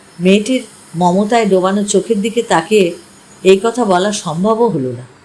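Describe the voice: This recording captures plain reading aloud.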